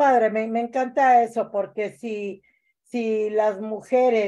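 A woman speaks at a fairly slow pace in a dark, mellow tone. The background is quiet. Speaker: community organizer hosting a weekly political show. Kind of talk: interview about state legislation. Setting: livestream. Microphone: video call.

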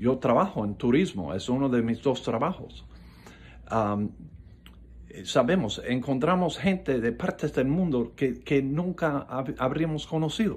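Lively intonation and vocal fry from a man speaking at a fairly slow pace. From South Florida, Coral Gables. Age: 70s. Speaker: political commentator. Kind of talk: political monologue. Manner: halting, many fillers. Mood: earnest, critical. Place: home room. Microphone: phone near.

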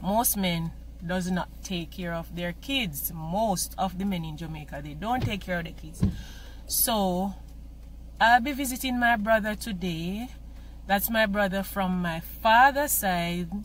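A woman's loudness swings widely as she speaks at a fairly slow pace, with a dry sound with no echo and light background noise. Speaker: vlogger. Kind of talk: casual vlog chat. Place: car. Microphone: phone near.

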